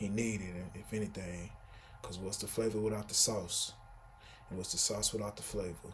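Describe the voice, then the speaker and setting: A man's fairly low, flat, monotone voice with vocal fry and an American accent, at a moderate pace amid audible room echo. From Texas, Houston. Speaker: vlogger. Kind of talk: casual vlog monologue. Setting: indoors at home, sitting in a room.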